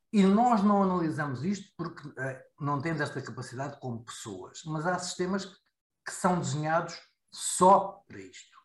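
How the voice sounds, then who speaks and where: A man with a high pitch and lively intonation talks at a fairly slow pace, barely pausing, while his loudness swings widely. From Portugal. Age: 50s. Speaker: IT security expert. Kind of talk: casual discussion. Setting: video call.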